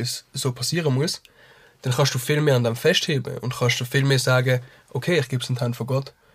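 A man talks in a somewhat breathy voice with monotone, flat intonation. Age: 20s. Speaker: musician. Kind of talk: casual chat. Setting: studio. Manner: fast.

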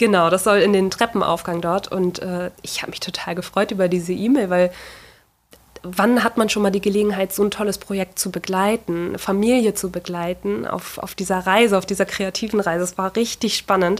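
Here is a woman with a plain, everyday voice at medium pitch. Her intonation is fairly even and her pace moderate. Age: 30s. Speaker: furniture restorer and workshop owner. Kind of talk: interview.

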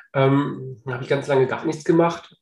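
A man with a fairly high pitch talks at a fairly slow pace, somewhat breathy, with monotone, flat intonation. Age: 40s. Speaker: real estate agent and property investor. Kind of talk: casual interview.

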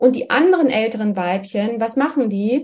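A woman speaks at a high pitch. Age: 50s. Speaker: menopause activist and nutrition scientist. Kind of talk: interview.

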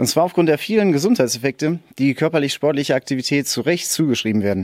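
Talking at a very fast pace, a man with a fairly high pitch and ordinary pitch variation is heard in a very clean recording with a silent background and a dry, close sound with no echo. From Sauerland, Germany. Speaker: sports scientist, research associate. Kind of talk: interview.

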